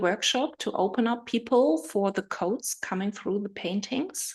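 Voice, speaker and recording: A woman is speaking. She has a German accent. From Germany. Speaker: spiritual healer. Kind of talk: live video stream talk. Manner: halting.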